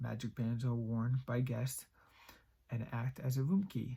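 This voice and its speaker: Somewhat breathy and dark, mellow in tone, a man speaks at a medium pitch. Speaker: YouTube creepypasta reader. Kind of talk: horror story reading.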